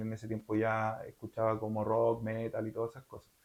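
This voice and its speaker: Speaking with a Chilean accent, a man uses a medium pitch. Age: 30s. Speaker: metal singer. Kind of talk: interview. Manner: casual with many fillers.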